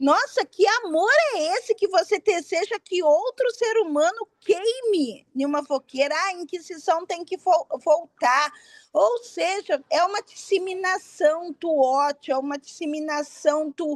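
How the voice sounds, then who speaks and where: A woman's extremely high voice, animated, with lively intonation and a fairly slow pace, in a dry, close sound with no echo. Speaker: witch, author and event organizer. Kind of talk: interview.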